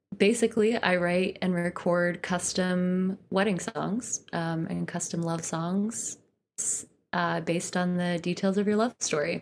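A woman with an American accent talks at a very slow pace. Her intonation is fairly even. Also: very clean recording, silent background. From US Northeast (Poughkeepsie, New York). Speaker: folk singer and songwriter. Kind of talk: casual interview.

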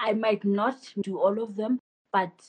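A woman's somewhat breathy voice. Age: 20s. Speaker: photographer and business owner. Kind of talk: casual interview.

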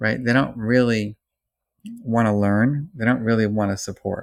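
A man speaks at a medium pitch. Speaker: psychology professor. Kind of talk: interview. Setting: remote call. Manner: mellow.

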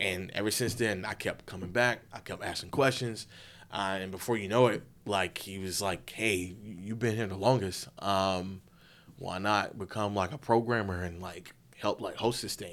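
An unremarkable speaking voice from a man, fairly low in pitch with fairly even intonation, on a very clean recording with a silent background. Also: moderate pace. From Florida (Winter Haven). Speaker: film festival host and filmmaker. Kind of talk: casual interview.

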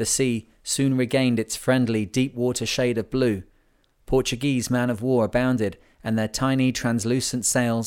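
Plain reading aloud. The words are simply read out.

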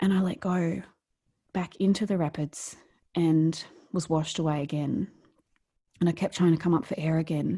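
With long, frequent pauses, a woman speaks in a somewhat breathy, fairly low-pitched voice. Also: moderate pace. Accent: Australian. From rural New South Wales, Australia. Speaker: author and speaker. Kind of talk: casual interview telling personal story. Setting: video call across time zones.

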